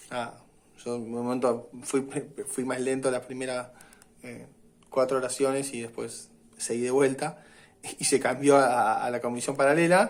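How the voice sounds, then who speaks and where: A man speaks at a medium pitch and fairly slow pace with fairly even intonation, big swings in loudness, and long, frequent pauses. The room echo is audible. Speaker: university lecturer. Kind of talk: lecture. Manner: hesitant fillers and repetitions.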